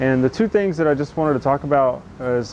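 Light background noise accompanies delivery at a moderate pace. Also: man. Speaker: carpentry contractor. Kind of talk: casual vlog chat. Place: street. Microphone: lapel.

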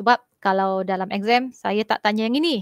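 The speaker keeps a moderate pace. The sound is dry with no echo, over a quiet background. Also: woman. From Malaysia. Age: 40s. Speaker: school teacher. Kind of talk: online class lecture. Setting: video call. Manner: casual, halting with fillers. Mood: relaxed, chatty. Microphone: headset.

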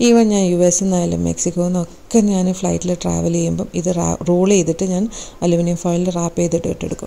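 A woman's fairly low, dark, mellow voice with vocal fry, a fast pace and little pitch movement

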